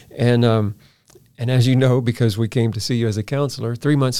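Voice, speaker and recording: Here a man speaks at a fairly quick pace and a medium pitch. His tone is dark and mellow, with fairly even intonation. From Louisiana (Baton Rouge). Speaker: podcast co-host. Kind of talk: casual chat. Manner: laughs often.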